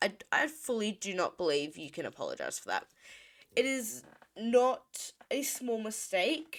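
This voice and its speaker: A woman with a fairly high pitch and vocal fry speaks at a fairly slow pace. Her pitch swings very widely, and her loudness shifts a lot. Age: 30s. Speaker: streamer. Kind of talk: casual commentary livestream. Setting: livestream.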